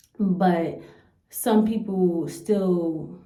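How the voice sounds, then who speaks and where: A woman with an American accent speaks in a dark, mellow tone, with audible room echo. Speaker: YouTuber. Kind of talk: reaction video commentary. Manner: blunt, stern.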